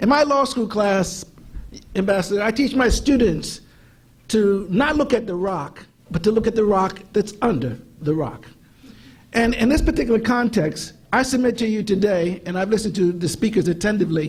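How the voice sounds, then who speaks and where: Audible room echo surrounds a high-pitched man. He speaks at a moderate pace with lively intonation. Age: 60s. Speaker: civil rights lawyer and law teacher. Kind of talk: conference panel talk.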